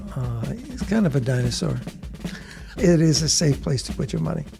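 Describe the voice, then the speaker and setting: Over background music, a man speaks at a moderate pace. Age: 70s. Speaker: bullion dealer. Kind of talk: interview answer.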